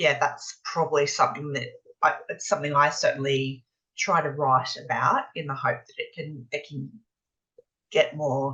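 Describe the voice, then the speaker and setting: A woman speaks with an Australian accent at a moderate pace. Her loudness swings widely. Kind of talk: interview. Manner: halting, with frequent repetitions.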